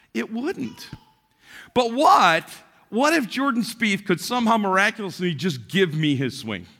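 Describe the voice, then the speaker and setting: A man's raised, projected voice, high in pitch with a bright, sharp tone, very wide pitch swings and a fairly slow pace. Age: 60s. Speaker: pastor. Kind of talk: sermon. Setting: church.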